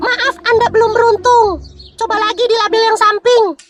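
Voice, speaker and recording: This female-sounding cartoonish character voice is squeaky and extremely high-pitched. It moves at a moderate pace. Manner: dramatic, flustered.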